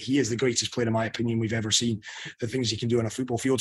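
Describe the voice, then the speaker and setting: A man's medium-pitched voice with a strong Scottish accent. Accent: thick Scottish. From Scotland. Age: 30s. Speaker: sports journalist. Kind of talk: panel interview. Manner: animated.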